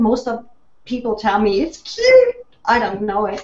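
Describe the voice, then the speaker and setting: This woman's voice is high in pitch. She talks at a moderate speed. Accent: slight German. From Germany. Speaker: online business consultant. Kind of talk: panel discussion.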